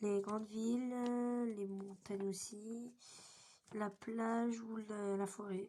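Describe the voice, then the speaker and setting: The woman's voice sits fairly high and has a dark, mellow tone. Her intonation stays monotone and flat. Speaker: youtuber. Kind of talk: casual chat. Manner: casual, hesitant.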